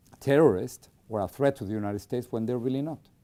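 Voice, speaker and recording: A man with a Spanish accent speaks at a medium pitch with ordinary pitch variation and a dark, mellow tone. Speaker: journalist. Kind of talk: interview.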